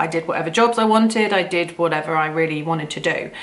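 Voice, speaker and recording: Over noticeable background noise, a woman with a British accent speaks at a fairly quick pace with fairly even intonation. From UK, rural farm upbringing. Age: 40s. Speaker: vlogger. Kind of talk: personal story monologue. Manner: loud; hesitant, many fillers.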